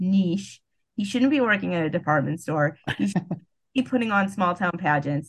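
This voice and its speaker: At a moderate pace, this voice comes across somewhat breathy. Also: woman, fairly low pitch for a woman, very even loudness. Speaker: podcast host. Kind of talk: casual chat.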